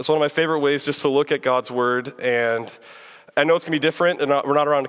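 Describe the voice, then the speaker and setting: Speaking very fast, a man keeps a flat, monotone intonation at a fairly high pitch. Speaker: preacher. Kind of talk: sermon.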